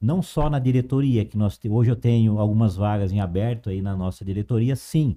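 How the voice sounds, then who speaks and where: A fairly low, dark and mellow male voice at a fairly quick pace with hardly any pauses. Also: ordinary pitch variation. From interior of São Paulo state, Brazil. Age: 50s. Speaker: cultural association director. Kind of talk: interview.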